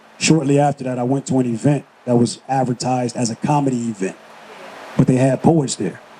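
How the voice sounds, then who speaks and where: A man speaks at a fairly quick pace with a medium pitch. There is noticeable background noise. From Los Angeles, California. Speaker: spoken word artist, army retiree. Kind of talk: interview answer.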